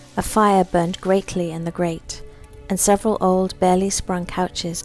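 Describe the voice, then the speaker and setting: With music in the background, a woman speaks. Her pitch is medium and her pace moderate. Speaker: author reading own story. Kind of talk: short story reading.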